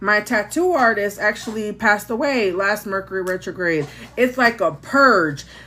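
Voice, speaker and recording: A woman speaks at a moderate pace with lively intonation, an animated tone and a bright, sharp sound. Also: medium pitch for a woman. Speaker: tarot reader livestreamer. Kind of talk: casual livestream chat. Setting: live stream.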